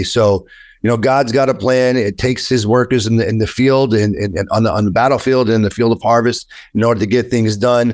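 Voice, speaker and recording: On a very clean recording with a silent background, a man with a New York accent speaks at a medium pitch in an animated tone and at a fairly quick pace. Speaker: attorney. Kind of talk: interview. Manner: animated, with frequent repetitions.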